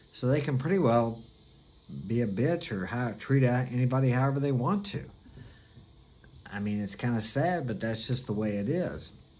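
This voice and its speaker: A man with an American accent speaks at a moderate pace in a medium-pitched voice with a dark, mellow tone and lively intonation. He leaves long, frequent pauses, and audible room echo surrounds him. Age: 60s. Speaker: vlogger. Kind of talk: casual monologue.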